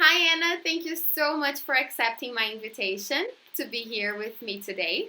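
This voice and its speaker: A woman with a high pitch and a bright, sharp tone projects her raised voice at a moderate pace, her pitch swinging very widely. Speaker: YouTuber, interviewer. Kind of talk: casual interview.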